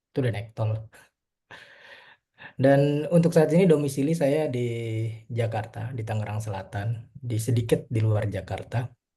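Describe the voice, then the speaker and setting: A man's medium-pitched voice is somewhat breathy, with a dark, mellow tone. He talks at a moderate pace with ordinary pitch variation and long, frequent pauses. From Indonesia, East Kalimantan (Tenggarong), later Malang. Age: 30s. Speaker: mobile developer, webinar speaker. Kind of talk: webinar presentation. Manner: casual, hesitant with fillers.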